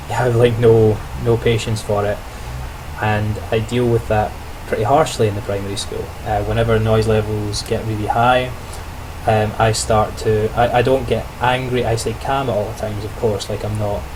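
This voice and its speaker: A man speaks at a moderate pace in a fairly low voice with fairly even intonation. Room echo is audible, and background noise is noticeable. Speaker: student teacher vlogger. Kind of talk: video diary monologue. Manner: casual, with many fillers and restarts.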